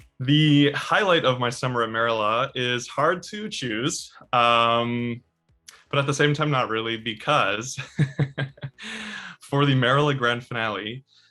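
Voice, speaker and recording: With music in the background, a man talks at a fairly slow pace, his medium pitch showing ordinary variation. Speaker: opera singer, baritone. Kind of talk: interview answer. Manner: hesitant, casual, with filler words.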